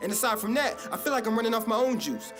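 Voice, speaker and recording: Over background music, a man with a high voice talks very fast. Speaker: spoken word poet. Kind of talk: slam poetry performance.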